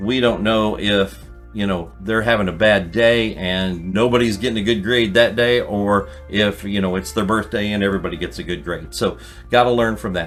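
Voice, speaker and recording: Over music in the background, a man speaks at a moderate pace in a fairly low pitch with ordinary pitch variation. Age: 60s. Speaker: card collecting youtuber. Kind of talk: casual tutorial. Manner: conversational with fillers.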